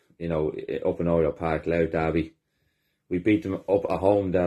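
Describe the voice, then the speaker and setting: Against a quiet background, a man with an Irish accent talks at a moderate pace in a very deep, low pitch, his dark, mellow tone held to a monotone, flat intonation. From Ireland. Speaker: football fan. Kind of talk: match review. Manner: angry, sweary. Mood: frustrated, disgusted after loss. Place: home room. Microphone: phone near.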